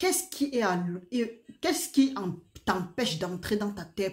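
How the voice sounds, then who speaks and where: A somewhat breathy woman at a moderate pace, with ordinary pitch variation. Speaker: preacher. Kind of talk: sermon. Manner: soft-spoken.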